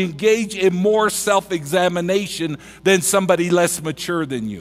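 A man talks at a moderate pace while faint music sounds in the background. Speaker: preacher. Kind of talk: sermon. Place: church. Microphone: headset.

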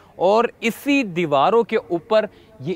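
A dry, close sound without echo, carrying lively intonation. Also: man. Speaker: travel vlogger. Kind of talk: guided video tour. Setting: inside a mosque.

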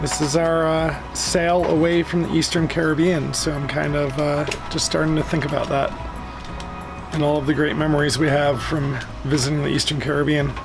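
With clear music in the background, a man speaks at a moderate pace in a monotone, flat intonation. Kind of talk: casual vlog chat. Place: boat. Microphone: phone near.

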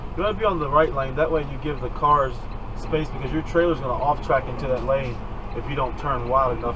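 The speech moves at a fairly quick pace. Noticeable background noise can be heard. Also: man. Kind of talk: casual vlog chat, instructional. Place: car. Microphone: camera far.

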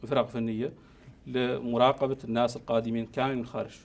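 Pitched in the medium range, a man's voice holds a fairly even intonation. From Mauritania. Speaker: physician, district chief medical officer; guest. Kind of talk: TV interview. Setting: TV studio. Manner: halting, with repetitions. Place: studio.

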